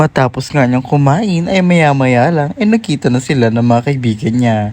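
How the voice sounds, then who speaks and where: Her loudness stays very even as this woman speaks in a dark, mellow tone at a very deep, low pitch. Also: lively intonation, moderate pace. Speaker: lifestyle vlogger. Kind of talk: casual vlog chat. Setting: quiet cafe. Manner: soft-spoken, quiet.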